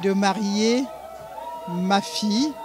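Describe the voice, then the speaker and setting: A woman speaks in a dry room with no echo while clear music plays in the background. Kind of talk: interview answer, wedding wishes. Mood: joyful, emotional. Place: hall. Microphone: handheld.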